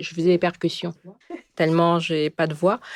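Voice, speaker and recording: A woman speaks in a fairly low pitch. The recording is very clean, with a silent background. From Gabon. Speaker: photographer. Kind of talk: podcast interview. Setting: studio. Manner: hesitant, many fillers.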